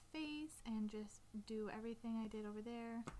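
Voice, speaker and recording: Mumbling at a fairly slow pace, a woman with a fairly high pitch talks over noticeable background noise. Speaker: artist. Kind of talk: drawing tutorial talk. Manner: casual, mumbling to herself.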